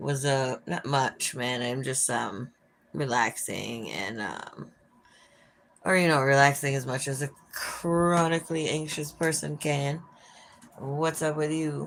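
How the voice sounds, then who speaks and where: A woman with an American accent speaks in a very deep, low voice with fairly even intonation. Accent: Minnesotan, sometimes thicker. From Minnesota. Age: 40s. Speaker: livestreamer. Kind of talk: casual chat. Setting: live stream by an open window.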